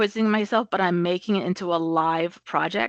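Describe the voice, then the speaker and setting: Against a quiet background, a woman with an unremarkable speaking voice talks at a fairly low pitch with ordinary pitch variation, the sound dry and close with no echo. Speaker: project management trainer. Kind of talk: webinar presentation.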